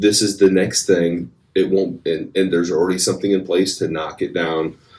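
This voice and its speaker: A man with a very deep, low voice speaks at a moderate pace. His delivery is monotone and flat. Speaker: artist and college art educator. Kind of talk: casual podcast chat. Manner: halting, many fillers and restarts.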